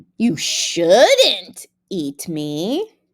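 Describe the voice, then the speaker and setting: A female-sounding voice at medium pitch performs a put-on character voice. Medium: read story. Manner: clever, sly.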